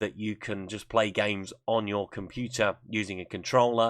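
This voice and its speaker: A man's fairly low, flat monotone with an Essex accent at a moderate pace, on a very clean recording with a silent background. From Essex, England. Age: 30s. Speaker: gaming video creator. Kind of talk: channel self-introduction.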